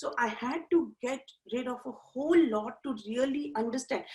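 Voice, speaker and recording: A woman speaks with an Indian accent. Her pitch varies in an ordinary way. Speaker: life coach. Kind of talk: interview. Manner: halting.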